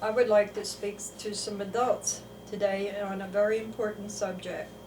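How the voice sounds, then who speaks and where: Against noticeable background noise, a woman with an American accent speaks slowly-ish at a fairly slow pace in a fairly high pitch. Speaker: children's story writer. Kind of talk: religious talk to camera.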